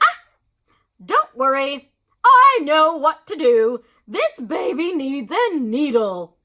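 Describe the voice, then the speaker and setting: A put-on character voice, high-pitched and very slow, full of long, frequent pauses. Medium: read story. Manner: brisk, matter-of-fact.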